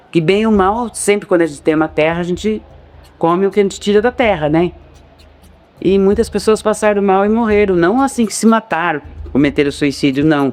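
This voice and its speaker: Music in the background behind a man's high pitch, fairly quick pace and ordinary pitch variation. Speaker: local resident interviewee. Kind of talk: documentary interview testimony.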